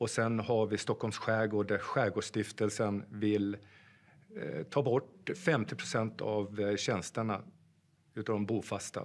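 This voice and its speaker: A man talks at a very slow pace in a fairly low voice. His pitch varies in an ordinary way. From Sweden, Gästrikland (Sandviken); Gästrikland, Sweden. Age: 50s. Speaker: police officer and political candidate; candidate. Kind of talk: campaign pitch. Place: studio.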